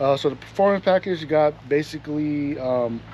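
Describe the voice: Over faint background noise, a man with a fairly high pitch and a slightly mellow tone talks at a moderate pace with ordinary pitch variation.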